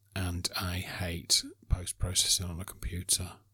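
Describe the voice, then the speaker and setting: A man speaks with a very deep, low pitch and a bright, sharp tone. The recording is very clean, with a silent background. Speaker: photography podcast host. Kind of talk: casual solo monologue. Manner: halting, many filler words.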